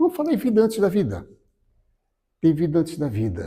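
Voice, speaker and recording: Fairly high in pitch, a man's voice has a dark, mellow tone with vocal fry. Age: 70s. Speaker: spiritist lecturer. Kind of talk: spiritual lecture. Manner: warm, conversational.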